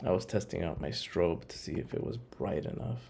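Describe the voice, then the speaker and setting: This man's very deep, low voice has a dark, mellow tone and vocal fry, with very wide pitch swings and audible room echo. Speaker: photographer. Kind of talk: tutorial. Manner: soft-spoken.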